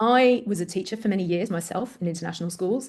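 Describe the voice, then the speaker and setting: A woman speaks with an English accent. Her tone is dark and mellow, with ordinary pitch variation. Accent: English-sounding. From Greece, Athens. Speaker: parent coach, former teacher. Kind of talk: interview.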